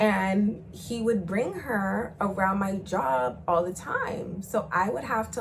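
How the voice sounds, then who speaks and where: Noticeable background noise and audible room echo surround a woman's medium-pitched voice. She talks at a fairly slow pace in an animated tone. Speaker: YouTuber telling personal stories. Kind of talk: storytime monologue. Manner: loud.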